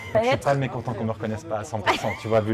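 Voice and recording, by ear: With a Swiss accent, a man speaks over music in the background.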